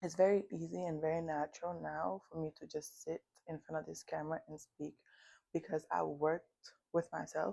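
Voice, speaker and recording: The tone is dark and mellow, with ordinary pitch variation. The pace is moderate. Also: woman. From United States. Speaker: self-help vlogger. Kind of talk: motivational talk to camera. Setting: filming alone in front of camera. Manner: halting with self-corrections.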